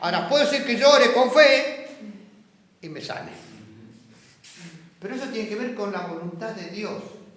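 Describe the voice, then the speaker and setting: A man at an extremely high pitch uses lively intonation with big swings in loudness and long, frequent pauses at a moderate pace. Audible room echo and noticeable background noise fill the recording. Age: 70s. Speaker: Bible study teacher. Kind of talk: Bible class discussion.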